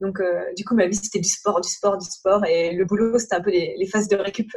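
Somewhat breathy, a woman speaks at a moderate pace and a medium pitch. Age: 30s. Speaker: travel blogger and entrepreneur. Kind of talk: casual interview.

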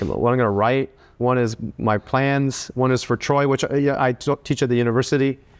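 A man of medium pitch talks at a moderate pace on a very clean recording with a silent background. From Canada. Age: 40s. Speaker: war veteran and writer. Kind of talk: interview. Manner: halting.

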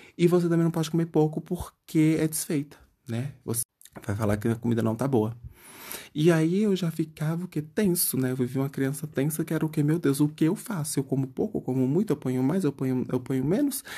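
Ordinary pitch variation marks this voice. Its tone is dark and mellow, with some breathiness. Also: man, fairly high pitch for a man. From Bahia countryside, Brazil. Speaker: podcast host. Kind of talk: comedic solo monologue.

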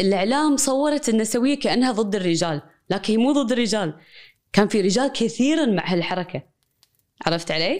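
Recorded very cleanly against a silent background, a woman with a Kuwaiti accent speaks at a moderate pace. Her pitch is fairly high and swings very widely. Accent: Kuwaiti Arabic with English code-switching. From Kuwait, Palestinian family. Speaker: associate professor of media and cultural studies. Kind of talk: conversational interview.

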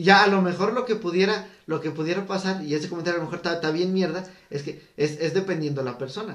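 A man with a high voice races along at a very fast pace with ordinary pitch variation, amid noticeable background noise and audible room echo. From State of Mexico, Teotihuacán area. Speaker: podcast co-host. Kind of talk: casual chat.

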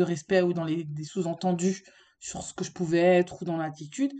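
A woman talks at a fairly slow pace in a fairly low pitch. Her tone is dark and mellow. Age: 30s. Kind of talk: casual chat. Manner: halting.

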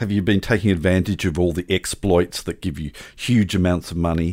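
A man with a very deep, low voice and an Australian accent speaks in a playful tone with fairly even intonation, on a very clean recording against a silent background. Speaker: podcast co-host. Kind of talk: casual chat. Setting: home studio. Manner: jokey, playful.

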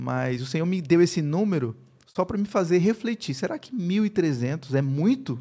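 At a moderate pace, a man speaks with a dark, mellow tone at a high pitch, his voice moving through very wide pitch swings. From Brazil, Paraíba (Campina Grande). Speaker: pastor and university professor. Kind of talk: interview, personal testimony.

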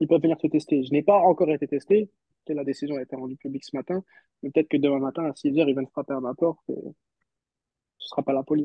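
This man talks fast, his fairly high voice carrying a slightly husky edge. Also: ordinary pitch variation, dry, close sound with no echo.

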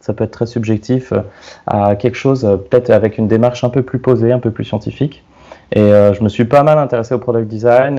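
Fairly quick in pace, a man speaks at a medium pitch with a dark, mellow tone and fairly even intonation. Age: 30s. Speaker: product designer. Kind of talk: casual chat. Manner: halting.

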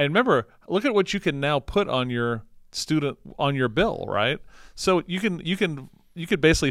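This man has an unremarkable speaking voice, fairly high pitched, with lively intonation at a moderate pace. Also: very clean recording, silent background. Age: 50s. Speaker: podcast host. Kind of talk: casual interview chat.

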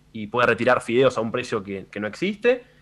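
Bright and sharp in tone, a man speaks at a moderate pace with a medium pitch. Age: 20s. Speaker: streamer. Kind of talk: radio interview.

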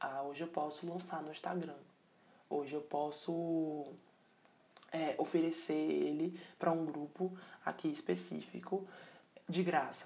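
A woman with a very deep, low voice and a dark, mellow tone speaks in a flat monotone. She talks fairly slowly, with long, frequent pauses. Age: 20s. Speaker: podcast host. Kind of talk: solo reflective monologue. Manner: casual, with many hesitations and filler words.

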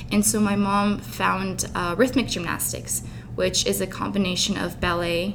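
Someone talks at a moderate pace with noticeable background noise behind them. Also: woman. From Dubai, with Ukrainian family. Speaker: university student, fitness enthusiast. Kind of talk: interview. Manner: casual, with fillers.

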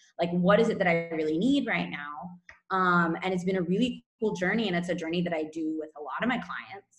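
A woman with a plain, everyday voice, fairly quick pace, ordinary pitch variation and hardly any pauses. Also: fairly low pitch for a woman. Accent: American. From California, US. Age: 30s. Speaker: nutrition coach. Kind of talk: casual interview chat. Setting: remote call from Spain.

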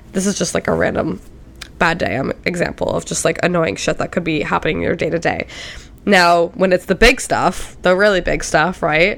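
Noticeable background noise behind a moderate pace and ordinary pitch variation. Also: woman, fairly low pitch for a woman. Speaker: podcast host. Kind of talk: solo motivational monologue. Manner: casual, chatty.

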